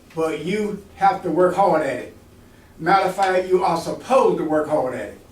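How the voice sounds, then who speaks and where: Amid audible room echo, a man with a high pitch speaks at a moderate pace in an animated tone. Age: 80s+. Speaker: retired Air Force veteran, mentoring speaker. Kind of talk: motivational talk to college students. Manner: animated, engaging audience.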